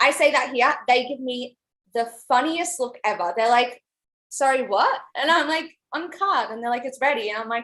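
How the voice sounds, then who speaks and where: With an Australian accent, a woman talks at a moderate pace in a high pitch, her tone bright and sharp and her pitch varying in an ordinary way. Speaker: college cheerleader. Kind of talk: casual interview.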